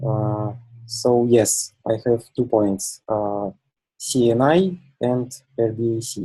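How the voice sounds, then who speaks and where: Someone with a non-native accent speaks at a very slow pace, leaving long, frequent pauses. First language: not English. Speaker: community contributor, Kubernetes user. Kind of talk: online community meeting discussion. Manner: halting with many fillers.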